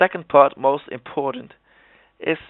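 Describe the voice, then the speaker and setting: A man with a Dutch accent, fairly even intonation, and a moderate pace. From Netherlands. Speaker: gaming video creator. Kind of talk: tutorial. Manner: halting.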